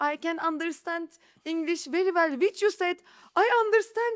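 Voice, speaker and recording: A woman talks with a Turkish accent. The recording is very clean with a silent background, and the sound is dry and close with no echo. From Istanbul, Turkey. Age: 30s. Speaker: real estate agent. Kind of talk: podcast interview. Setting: studio.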